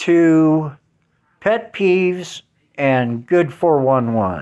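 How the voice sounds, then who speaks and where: Very slow speech with an American accent and very wide pitch swings comes on a very clean recording with a silent background. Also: man. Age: 60s. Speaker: YouTuber. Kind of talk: personal vlog monologue. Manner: casual, halting with fillers.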